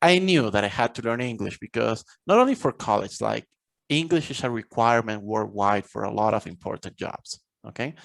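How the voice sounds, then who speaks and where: A man with a Spanish accent talks at a fairly quick pace, his pitch medium and his intonation lively. The sound is dry and close, with no echo. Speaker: college professor and author. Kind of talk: podcast interview.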